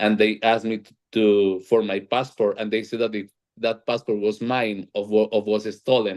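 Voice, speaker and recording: A man with a strong Colombian accent, fairly low pitch, and monotone, flat intonation. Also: moderate pace, hardly any pauses. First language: Spanish. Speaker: panel moderator. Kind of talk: panel discussion. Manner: halting, repeats words.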